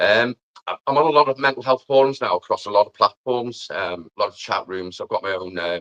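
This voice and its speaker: A man with a Liverpool accent, medium in pitch, bright and sharp in tone, with lively intonation at a fairly quick pace, in a dry, close sound with no echo. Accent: Scouse. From Liverpool, England. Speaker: amateur musician and mental health advocate. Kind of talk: live stream interview.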